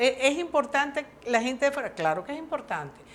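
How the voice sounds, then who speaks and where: A woman talks at a fairly quick pace. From Venezuela. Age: 60s. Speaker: social worker. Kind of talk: interview. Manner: animated.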